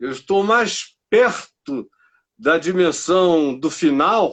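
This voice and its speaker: A man's voice with very wide pitch swings. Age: 60s. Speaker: pastor. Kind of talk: interview.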